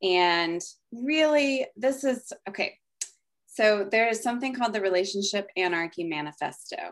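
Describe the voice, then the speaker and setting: A woman has a plain, everyday voice with fairly high pitch and lively intonation. She speaks at a moderate pace on a very clean recording with a silent background. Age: 30s. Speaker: coach, former therapist. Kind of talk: casual chat.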